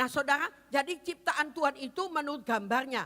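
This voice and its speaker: Projecting her raised voice, a woman speaks at a fairly quick pace and a high pitch, her animated tone bright and sharp, with ordinary pitch variation. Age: 70s. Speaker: pastor. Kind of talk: sermon.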